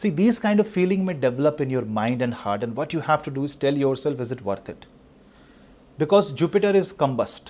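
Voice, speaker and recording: The recording is very clean with a silent background. The pitch swings very widely at a fairly quick pace. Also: man, fairly high pitch for a man. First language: not English. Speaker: astrologer. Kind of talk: monologue on astrology. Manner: halting, many fillers.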